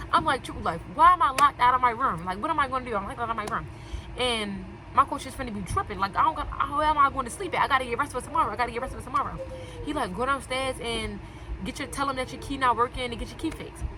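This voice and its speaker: A woman talks at a very fast pace in a raised, projected voice, high-pitched and animated, with lively intonation, big swings in loudness and crowd noise in the background. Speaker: storytelling vlogger. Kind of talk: casual storytime.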